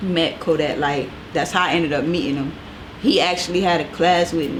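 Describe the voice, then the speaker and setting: The speech moves at a fairly quick pace with fairly even intonation, with audible room echo and noticeable background noise. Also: woman, fairly low pitch for a woman. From US South, Fort Lauderdale, Florida. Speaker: stylist. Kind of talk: casual interview.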